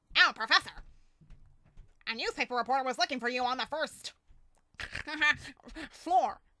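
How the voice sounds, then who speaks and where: A female-sounding put-on character voice pitched high, broken up by long, frequent pauses. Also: moderate pace. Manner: gloomy, flat.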